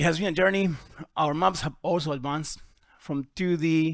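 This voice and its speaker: A man with an Argentine accent is heard on a very clean recording with a silent background. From Argentina. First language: Spanish. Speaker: GIS software presenter. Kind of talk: conference talk. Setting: conference workshop with audience.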